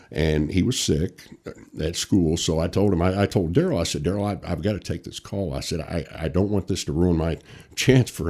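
A man's very deep, low voice with a dark, mellow tone, captured in a very clean recording against a silent background. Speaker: retired fire captain. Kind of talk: casual chat. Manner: loud.

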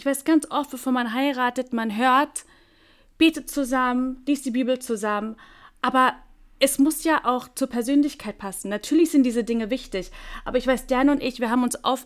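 The recording is very clean, with a silent background. The speaker goes at a moderate pace. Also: woman. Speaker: podcast co-host. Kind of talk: casual chat.

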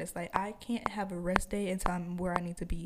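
A woman at a medium pitch talks with noticeable background noise in the recording. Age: 20s. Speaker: podcaster. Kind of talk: solo rant, casual podcast monologue, unscripted, venting to listeners. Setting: home recording with microphone. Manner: rambling, heated and frustrated, informal, with filler words; stuttery, unplanned, repeats words.

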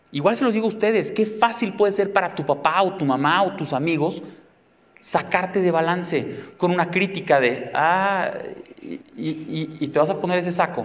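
Here a man uses an animated tone and a high pitch. He keeps a moderate pace with ordinary pitch variation. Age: 40s. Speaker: psychotherapist and speaker. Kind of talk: talk to a live audience.

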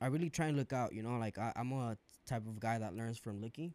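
A man's normal speaking voice at a fairly quick pace with ordinary pitch variation, dry and close with no echo, on a very clean recording with a silent background. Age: 20s. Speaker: bartender. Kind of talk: casual chat.

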